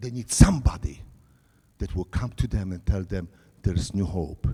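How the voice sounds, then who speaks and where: With a Polish accent, a man speaks at a moderate pace in a very deep, low pitch, his dark, mellow tone somewhat breathy and his intonation lively. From Poland. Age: 60s. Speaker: pastor. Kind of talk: sermon.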